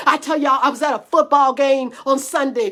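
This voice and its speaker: A woman's squeaky, animated voice at a moderate pace. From US South. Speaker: preacher. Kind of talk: sermon. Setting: livestream. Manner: stammering repetitions.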